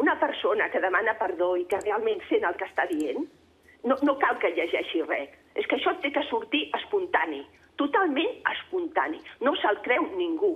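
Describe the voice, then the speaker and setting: Her high voice swings very widely in pitch as the woman speaks at a fairly slow pace. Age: 60s. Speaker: caller. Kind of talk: phone-in comment. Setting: phone call. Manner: agitated.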